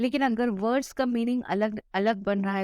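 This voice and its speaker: A woman with a non-native accent speaks at a moderate pace with ordinary pitch variation, in a dry, close sound with no echo against a quiet background. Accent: non-native Hindi pronunciation, self-noted. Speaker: online tutor. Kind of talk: tutorial. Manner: Hindi-English code-mixing.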